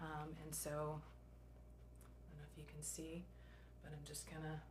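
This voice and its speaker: A soft-spoken woman amid noticeable background noise and audible room echo. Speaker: somatic movement instructor. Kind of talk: guided movement session. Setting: at home late at night, video recording. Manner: hesitant, many fillers.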